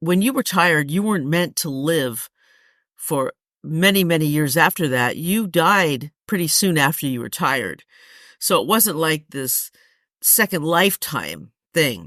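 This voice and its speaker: A fairly slow, lively-intoned delivery over a very clean recording with a silent background. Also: woman, very deep, low pitch for a woman. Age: 60s. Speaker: running podcast host. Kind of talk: solo podcast monologue. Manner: conversational, with self-corrections.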